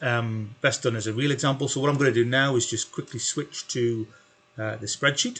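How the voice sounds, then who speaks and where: A man's medium-pitched voice moves at a moderate pace with fairly even intonation, noticeable background noise present throughout. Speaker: spreadsheet tutor. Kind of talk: tutorial. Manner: hesitant with fillers.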